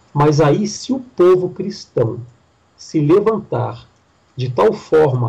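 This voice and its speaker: A man speaks with lively intonation. His tone is dark and mellow and somewhat breathy. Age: 40s. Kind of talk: preaching-style interview talk.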